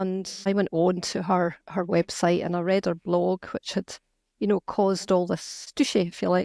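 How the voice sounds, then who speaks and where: A woman with a Scottish accent at a moderate pace, on a very clean recording with a silent background and a dry, close sound with no echo. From Scotland. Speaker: novelist and activist. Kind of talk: interview conversation.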